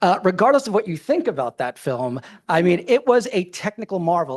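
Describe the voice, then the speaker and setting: A man talks at a fairly quick pace, the sound dry and close with no echo over a quiet background. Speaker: filmmaker and cinematic director. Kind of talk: conference presentation. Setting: stage with audience. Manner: fast.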